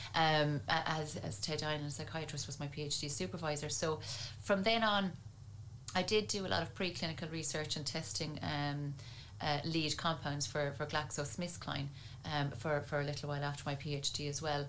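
There is audible room echo as a woman with an Irish accent speaks at a moderate pace, her very deep, low pitch showing ordinary variation. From Ireland, County Tipperary. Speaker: neuroscience researcher and university lecturer. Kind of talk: interview.

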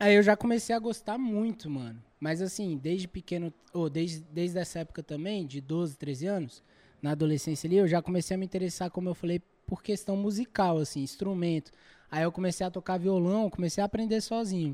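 Dry and close with no echo, this very clean recording with a silent background has a man speaking fairly quickly at a high pitch with ordinary pitch variation. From Brazil, Federal District (Guará). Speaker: battle rap MC. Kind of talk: casual chat. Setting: studio.

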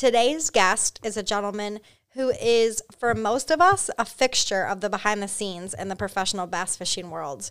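Over a silent background in a very clean recording, a woman with an ordinary speaking voice talks at a moderate pace, her fairly high pitch showing ordinary variation. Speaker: podcast host. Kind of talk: casual interview chat.

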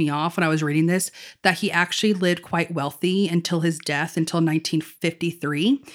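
In an unremarkable speaking voice, a woman speaks at a moderate pace, her fairly low pitch carried in fairly even intonation on a very clean recording with a silent background. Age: 30s. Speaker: podcast co-host. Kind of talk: casual chat.

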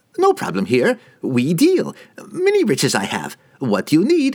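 A man's put-on character voice, nervous in tone, at a moderate pace. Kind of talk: fantasy audiobook character voice. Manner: nervous, wheedling, broken speech.

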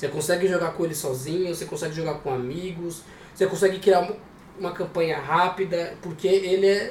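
Noticeable background noise sits behind a man with a high pitch. He talks fairly quickly with fairly even intonation. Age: 20s. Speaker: podcast co-member, RPG player. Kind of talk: casual chat.

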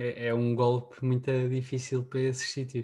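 A man speaks fairly slowly in a dark, mellow, somewhat breathy tone. His intonation stays monotone and flat. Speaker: podcast host. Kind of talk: casual chat.

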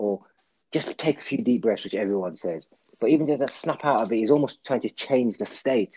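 In a dry, close recording with no echo, a man with medium pitch speaks at a fairly quick pace with lively intonation in a plain, everyday voice. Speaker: podcast host. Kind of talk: casual chat. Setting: video call.

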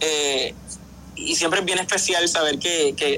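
A man's fairly high pitch over noticeable background noise. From Puerto Rico. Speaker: musical theatre actor. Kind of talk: interview. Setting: video call. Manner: repeats words, halting.

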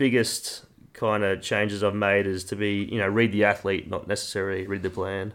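A man speaks with a Queensland accent at a fairly low pitch. His pace is fairly quick. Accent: Queensland Australian. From Queensland, Australia. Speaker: sports performance professional. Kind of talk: casual chat.

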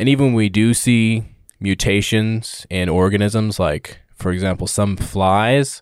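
A man with an unremarkable speaking voice, fairly low in pitch, at a fairly slow pace with fairly even intonation. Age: 20s. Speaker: podcast guest, host's younger brother. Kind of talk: casual chat. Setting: studio.

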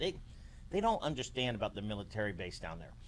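This man speaks with very wide pitch swings and audible vocal fry. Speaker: newspaper host. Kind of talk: casual interview, live video. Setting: Facebook Live video.

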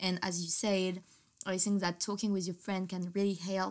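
With a French accent, a woman speaks at a medium pitch in a flat, monotone way, in a very clean recording with a silent background. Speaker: podcast host. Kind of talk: casual chat; scripted intro.

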